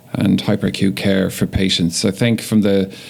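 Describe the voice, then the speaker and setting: This man speaks in a fairly low pitch with monotone, flat intonation. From Ireland, Dublin. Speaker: emergency physician. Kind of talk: podcast interview.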